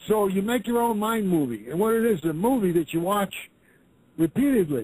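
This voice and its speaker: A high-pitched male voice with lively intonation. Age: 70s. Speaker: caller to talk radio, activist website runner. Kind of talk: casual radio talk.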